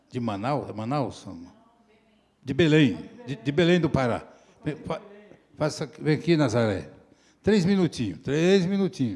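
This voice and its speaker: Pausing long and often, a man talks at a fairly slow pace and medium pitch, with very wide pitch swings. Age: 70s. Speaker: meeting moderator. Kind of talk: moderating a public meeting. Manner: informal, jovial.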